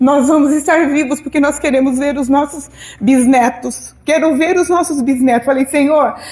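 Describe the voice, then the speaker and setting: A woman speaks at a high pitch and a moderate pace. Her intonation is fairly even and her loudness stays very even. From southern Brazil. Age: 60s. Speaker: pastor. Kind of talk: sermon.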